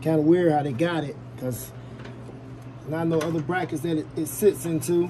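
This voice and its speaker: Fairly even intonation at a moderate pace, broken by long, frequent pauses, over noticeable background noise. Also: man, fairly high pitch for a man. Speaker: YouTube DIY car repair creator. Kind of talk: tutorial. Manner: casual, thinking aloud while working.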